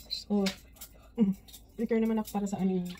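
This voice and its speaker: Music in the background behind a woman's fairly high-pitched voice with fairly even intonation. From Philippines. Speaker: vlogger. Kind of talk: casual vlog talk.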